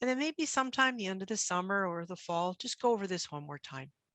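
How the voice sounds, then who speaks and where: A woman's medium-pitched voice, bright and sharp in tone, very fast with lively intonation, dry and close with no echo, over a quiet background. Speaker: medical geneticist, clinic co-director. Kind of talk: recorded lecture with slides. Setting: recorded video talk, camera off.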